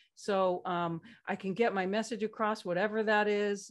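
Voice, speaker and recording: An unremarkable speaking voice with an American accent moves at a moderate pace with fairly even intonation over a quiet background. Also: woman. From California. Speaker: slide presentation designer. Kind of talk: casual chat.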